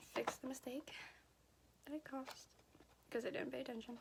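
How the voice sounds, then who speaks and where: Intonation stays monotone and flat. The speaker is a woman. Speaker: beauty vlogger. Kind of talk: casual makeup tutorial chat. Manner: repeats and restarts sentences.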